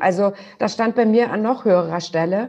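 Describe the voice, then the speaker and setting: A plain, everyday voice from a woman, fairly high in pitch, with lively intonation at a moderate pace. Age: 40s. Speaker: butcher shop co-owner. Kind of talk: interview.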